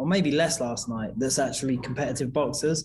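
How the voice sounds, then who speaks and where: A man speaks fairly quickly with an English accent. His voice is somewhat breathy, with ordinary pitch variation. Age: 30s. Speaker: boxing gym owner, former pro boxer. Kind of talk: interview. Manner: halting.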